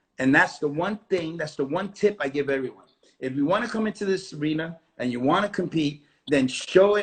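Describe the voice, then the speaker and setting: A man's fairly high pitch with ordinary variation, at a fairly quick pace. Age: 60s. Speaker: dance competition director and judge. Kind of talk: interview. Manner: animated.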